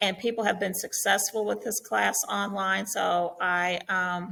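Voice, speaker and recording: Her voice carries vocal fry as the woman speaks at a fairly slow pace in a flat, monotone way. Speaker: science teacher. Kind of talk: online class orientation. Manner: hesitant fillers.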